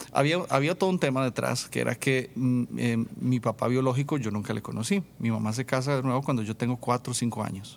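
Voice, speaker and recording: This man has a normal speaking voice at a medium pitch. His pace is fairly quick, with ordinary pitch variation. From Costa Rica, rural San Vito de Coto Brus. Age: 30s. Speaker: worship leader and musician. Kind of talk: casual interview testimony.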